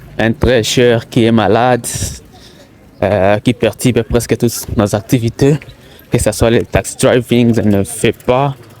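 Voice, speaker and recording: A man talking at a very slow pace over noticeable background noise. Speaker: taxi driver and vlogger. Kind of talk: walking vlog commentary. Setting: outdoors, walking in streets. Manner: halting, many fillers.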